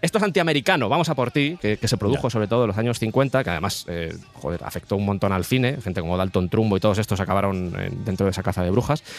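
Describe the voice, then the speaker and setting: Music plays in the background as a man speaks at a very fast pace with hardly any pauses. His fairly low voice has lively intonation. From Madrid, Spain. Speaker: podcaster. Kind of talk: casual chat.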